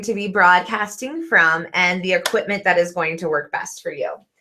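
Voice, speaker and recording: A woman with lively intonation at a moderate pace over noticeable background noise. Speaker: online business video coach. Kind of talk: live stream tutorial. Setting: home video studio, live stream.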